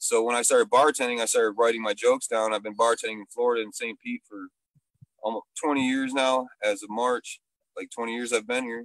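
A man with an American accent uses a normal speaking voice at medium pitch with fairly even intonation and a fairly quick pace. The sound is dry and close with no echo, and his loudness swings widely. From Michigan. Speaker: comedian and bartender. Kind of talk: casual chat. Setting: video call, outdoors.

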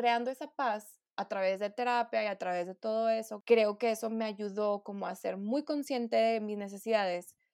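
On a very clean recording with a silent background, a woman uses a normal speaking voice, fairly high in pitch, with fairly even intonation at a moderate pace. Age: 20s. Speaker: nutritionist. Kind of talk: casual chat.

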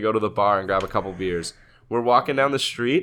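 In a very clean recording with a silent background, a man's bright, sharp voice moves at a fairly quick pace with ordinary pitch variation. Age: 20s. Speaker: podcast co-host. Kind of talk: casual chat.

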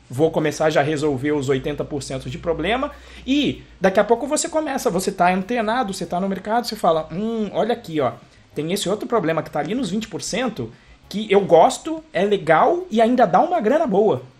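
A man talks at a moderate pace with a high pitch for a man. His pitch swings very widely. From Brazil. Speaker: podcast host, computer engineer. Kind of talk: casual chat.

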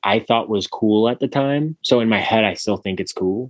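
A man speaks in an ordinary speaking voice at a moderate pace with lively intonation. The sound is dry and close, with no echo. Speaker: podcast host. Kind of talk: casual banter podcast. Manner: crude, joking, irreverent.

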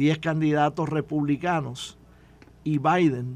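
A man with a fairly high-pitched voice speaks at a very slow pace. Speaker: former politician and commentator. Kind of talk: radio panel discussion.

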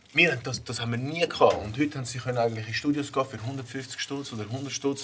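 This is a man with a normal speaking voice at medium pitch. He talks at a fairly quick pace with fairly even intonation. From Zürich Oberland, Switzerland. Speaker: rapper. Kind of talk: casual chat.

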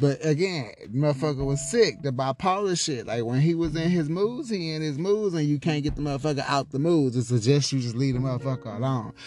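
Speaking at a fairly quick pace with hardly any pauses, a man with an American accent and fairly high pitch shows ordinary pitch variation. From Houston, Texas. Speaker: podcast host. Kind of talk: personal storytelling monologue. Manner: casual, filler-heavy.

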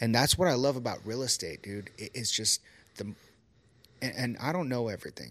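Speaking at a fairly quick pace with a medium pitch and ordinary pitch variation, a man leaves long, frequent pauses on a very clean recording with a silent background. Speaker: podcast host. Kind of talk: casual interview conversation.

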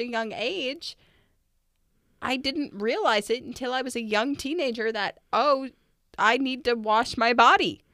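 A woman speaks in a raised, projected voice at a high pitch. Her pace is fairly slow, and the recording is very clean with a silent background. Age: 20s. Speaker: podcast co-host and parent. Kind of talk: casual chat.

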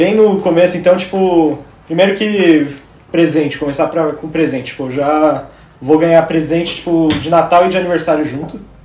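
A man speaks with fairly high pitch and fairly even intonation. Audible room echo and noticeable background noise surround his voice. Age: 20s. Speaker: podcast co-host. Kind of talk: casual chat. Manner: halting, many fillers.

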